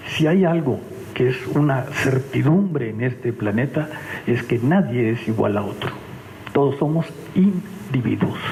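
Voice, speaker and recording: Lively intonation and long, frequent pauses, with noticeable background noise and audible room echo. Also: man. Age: 70s. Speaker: engineer and science museum official. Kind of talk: conference talk. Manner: conversational, with frequent fillers.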